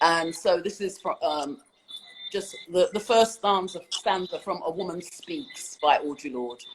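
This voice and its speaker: A woman speaks with a London accent and lively intonation. Her pace is fairly slow. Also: medium pitch for a woman. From London, England. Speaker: poet. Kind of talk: interview answer.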